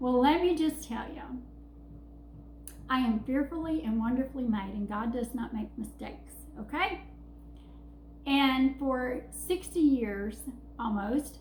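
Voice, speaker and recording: A woman with a Southern US accent speaks at a fairly slow pace with long, frequent pauses, over noticeable background noise and audible room echo. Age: 50s. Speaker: vlogger. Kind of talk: casual vlog. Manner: halting.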